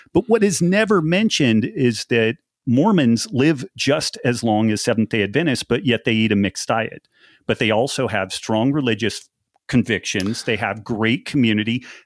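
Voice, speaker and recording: A man speaks at a moderate pace and medium pitch in an ordinary speaking voice with lively intonation. The recording is very clean with a silent background and a dry, close sound with no echo. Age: 50s. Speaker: nutrition author and former research biochemist. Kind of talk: casual interview chat.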